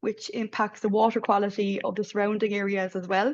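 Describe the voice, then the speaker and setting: Against a quiet background, a woman with an Irish accent speaks at a fairly quick pace in a fairly high pitch. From Ireland. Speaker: midwife researcher. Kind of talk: panel presentation. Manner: hesitant, many fillers.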